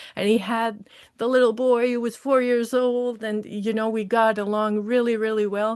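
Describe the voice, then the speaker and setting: Speaking with a Quebec accent, a woman keeps a moderate pace. Her fairly high voice stays monotone and flat. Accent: Quebecois French. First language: French. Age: 40s. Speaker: social service worker. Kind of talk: testimony. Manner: halting.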